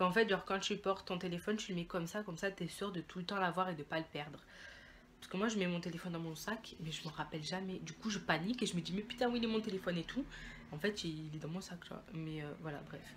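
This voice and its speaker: This woman talks at a very fast pace in a medium pitch. Her voice is somewhat breathy, with ordinary pitch variation. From Italy. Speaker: beauty and fashion vlogger. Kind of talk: haul video, casual chat to camera. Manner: casual, chatty with many fillers.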